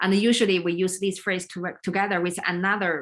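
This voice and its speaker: A woman's medium-pitched voice with a Chinese accent. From China. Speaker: leadership coach and business consultant. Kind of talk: live stream talk. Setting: livestream video. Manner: halting.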